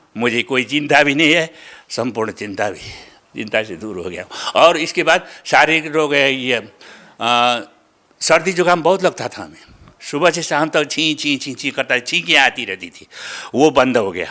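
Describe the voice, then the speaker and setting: The man's fairly high voice has a bright, sharp tone with vocal fry and lively intonation. His loudness swings a lot. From Nepal. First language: Nepali (speaking Hindi). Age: 70s. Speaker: devotee, retired school inspector. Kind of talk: interview testimony. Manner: halting, with fillers and repetitions.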